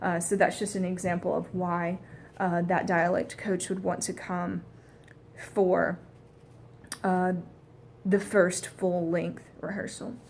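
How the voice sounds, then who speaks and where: A woman with an American accent speaks at a medium pitch with vocal fry and flat, monotone intonation. She talks very slowly, with long, frequent pauses. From US South. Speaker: dialect coach student. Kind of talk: spoken presentation of a coaching plan. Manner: hesitant, many fillers.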